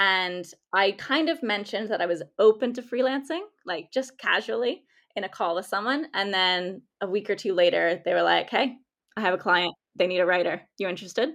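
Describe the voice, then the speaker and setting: A woman's ordinary speaking voice with an American accent, medium pitch, lively intonation and a fairly quick pace against a quiet background. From United States. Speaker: freelance content writer. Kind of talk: interview conversation.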